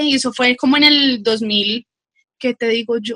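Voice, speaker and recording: A woman's high-pitched voice with a bright, sharp tone, fairly slow pace and ordinary pitch variation, dry and close with no echo. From Colombia, Bogotá. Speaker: occupational health and safety professional. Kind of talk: casual chat.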